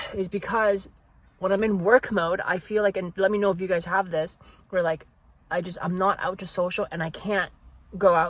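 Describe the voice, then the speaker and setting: A somewhat breathy woman's voice, monotone and flat, at a fairly quick pace. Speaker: vlogger. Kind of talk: casual vlog. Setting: in a car. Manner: halting, many fillers; fast.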